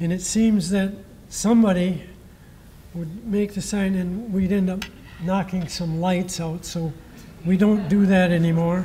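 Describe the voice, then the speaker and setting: Soft-spoken and very slow, the voice comes through noticeable background noise. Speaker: former baseball coach giving a blessing. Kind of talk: ceremony speech with prayer. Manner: halting.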